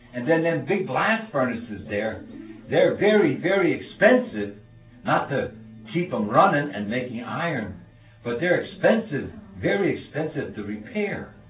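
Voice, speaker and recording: Over background music and audible room echo, a man with a fairly high-pitched voice makes very wide pitch swings. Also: moderate pace. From Bethlehem, Pennsylvania, US. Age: 70s. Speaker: retired steel mill rigger. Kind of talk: interview. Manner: halting.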